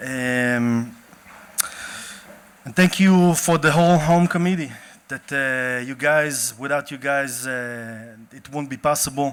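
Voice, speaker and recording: Speech comes at a very slow pace with big swings in loudness and long, frequent pauses. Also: man, fairly high pitch for a man, ordinary pitch variation. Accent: Israeli. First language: Hebrew. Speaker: event organizer and activist. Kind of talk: opening speech at a panel event. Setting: stage with audience.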